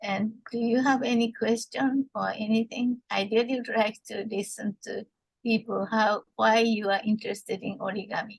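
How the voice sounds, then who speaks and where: A woman talks at a moderate pace in a fairly high, somewhat breathy voice. Her intonation stays monotone and flat. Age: 70s. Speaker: art therapist. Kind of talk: lecture. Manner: halting, many fillers.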